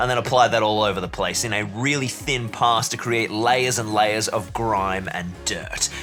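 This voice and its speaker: A man talks with a strong Australian accent. Music plays in the background. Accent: broad Australian. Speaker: hobby and terrain-building YouTuber. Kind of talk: tutorial voiceover. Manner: animated.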